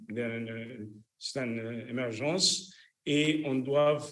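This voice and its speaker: In a room with audible echo, a man speaks with a fairly high pitch. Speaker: cardiologist, electrophysiologist. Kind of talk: lecture. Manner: halting, many fillers.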